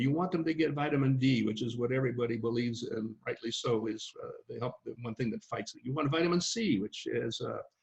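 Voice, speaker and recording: A man's medium-pitched, somewhat breathy voice at a fairly quick pace, full of lively intonation. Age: 80s+. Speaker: expat interviewee. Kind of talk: casual chat. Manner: halting, repetitive.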